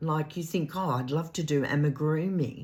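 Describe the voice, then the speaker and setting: Woman with an Australian accent and a very deep, low pitch, at a moderate pace with fairly even intonation. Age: 70s. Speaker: craft vlogger. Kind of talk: casual chat.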